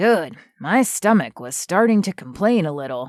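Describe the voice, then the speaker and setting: This is a put-on character voice with a raspy sound. It sits at a middle pitch and moves at a moderate pace. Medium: read story. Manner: calm, gentle.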